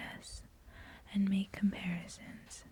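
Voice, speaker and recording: Soft-spoken words come at a very slow pace. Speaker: ASMR creator. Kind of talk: ASMR magazine reading.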